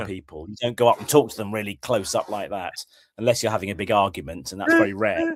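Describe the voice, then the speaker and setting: A man's very fast speech, fairly low in pitch, with ordinary pitch variation and big swings in loudness. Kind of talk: podcast conversation. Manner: casual.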